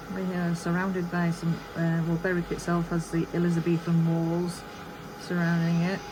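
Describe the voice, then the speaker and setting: A woman's fairly low, monotone voice in a Yorkshire accent at a moderate pace, with noticeable background noise. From Yorkshire, England. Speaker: crafter and video creator. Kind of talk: casual chat while crafting.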